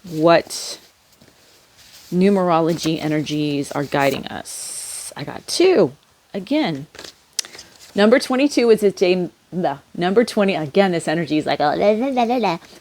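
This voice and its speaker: This woman's fairly low voice makes very wide pitch swings. She leaves long, frequent pauses. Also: moderate pace. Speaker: tarot and oracle card reader. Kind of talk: oracle card reading for viewers. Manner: casual, hesitant with fillers.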